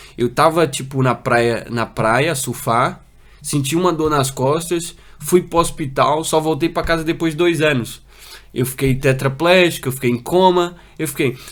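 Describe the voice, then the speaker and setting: This man's voice is fairly high. His pitch shifts in an ordinary manner. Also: fairly slow pace, very clean recording, silent background. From Brazil, moved to Portugal at six. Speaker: paralympic para-canoeist. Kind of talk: interview testimony. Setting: studio. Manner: halting, many fillers and repetitions.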